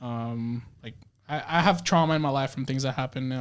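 A man with an American accent and a normal speaking voice talks at a fairly quick pace in a medium pitch with fairly even intonation, in a very clean recording with a silent background. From Dominican Republic-born, raised in the US. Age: 20s. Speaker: podcast guest, photographer. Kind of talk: casual chat.

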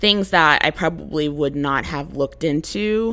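A woman speaks with a very deep, low pitch, vocal fry and a bright, sharp tone. Her pitch variation is ordinary, on a very clean recording with a silent background. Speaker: podcast host and software engineer. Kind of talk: casual solo monologue. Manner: blunt, casual with frequent laughs.

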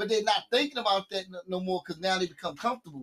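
In a raised, projected voice, a man speaks with a bright, sharp tone, a high pitch, and ordinary pitch variation. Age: 30s. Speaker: podcast host and music promoter. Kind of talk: casual interview chat.

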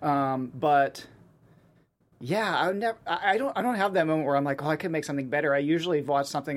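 A man at a fairly high pitch, a very fast pace and ordinary pitch variation. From Pittsburgh, US. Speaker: filmmaker and animator. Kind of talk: interview. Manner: halting, many fillers.

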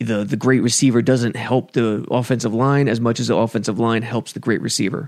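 A man's medium-pitched voice with fairly even intonation, on a very clean recording with a silent background. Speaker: podcast host. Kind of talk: casual podcast chat about football. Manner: slow talker; self-deprecating, casual.

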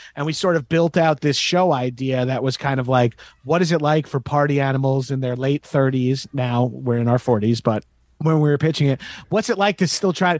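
A man with an American accent and a normal speaking voice, fairly high in pitch with ordinary pitch variation, at a moderate pace and very even loudness, in a very clean recording with a silent background and a dry, close sound with no echo. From Long Island, New York. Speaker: comedian. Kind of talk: casual chat.

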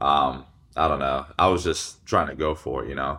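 Over a very clean recording with a silent background, a man with an American accent speaks at a moderate pace in a bright, sharp tone with vocal fry and ordinary pitch variation. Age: 20s. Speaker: fitness influencer and former college football player. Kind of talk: casual interview.

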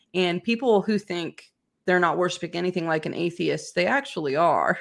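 A woman's normal speaking voice, fairly low in pitch, at a fairly quick pace. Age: 30s. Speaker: pharmaceutical whistleblower. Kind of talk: interview.

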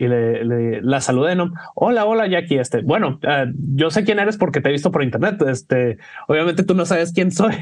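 A man talks in an ordinary speaking voice with a fairly high pitch. His pace is fairly quick and his intonation lively. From Mexico. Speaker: cocktail bartender. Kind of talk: casual chat.

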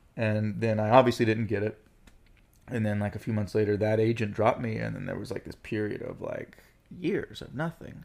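At a fairly quick pace, a man talks at a fairly low pitch in a normal speaking voice, with ordinary pitch variation and big swings in loudness. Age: 30s. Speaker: actor. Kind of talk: casual chat.

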